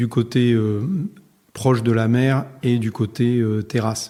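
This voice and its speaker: In a very clean recording with a silent background, a man with a dark, mellow tone and medium pitch talks fairly slowly in a monotone, flat intonation. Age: 60s. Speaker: winegrower. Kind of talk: interview.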